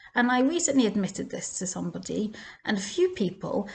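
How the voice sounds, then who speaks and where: In an English accent, a woman speaks at a fairly quick pace, her pitch swinging very widely. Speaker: Torah teacher. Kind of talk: casual Torah talk.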